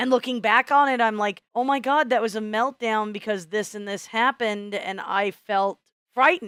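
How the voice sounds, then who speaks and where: The woman has an American accent and a fairly high pitch. She talks at a moderate pace with ordinary pitch variation, and the sound is dry and close with no echo. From US Midwest. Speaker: podcast co-host. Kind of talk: casual chat. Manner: loud.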